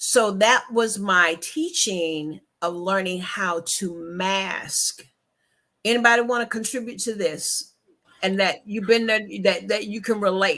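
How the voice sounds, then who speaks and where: Speaking at a fairly slow pace, a woman with a medium pitch has a bright, sharp tone. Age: 60s. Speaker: book talk host. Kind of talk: casual chat.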